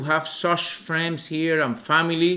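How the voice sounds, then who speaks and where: A man with a Cuban accent speaks in a high pitch. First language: Spanish. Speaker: visiting missionary preacher. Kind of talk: sermon testimony. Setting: church. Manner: halting, many fillers.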